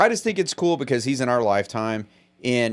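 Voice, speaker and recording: A man talks at a fairly quick pace in a plain, everyday voice. The recording is very clean, with a silent background. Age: 40s. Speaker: podcast host. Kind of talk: casual chat.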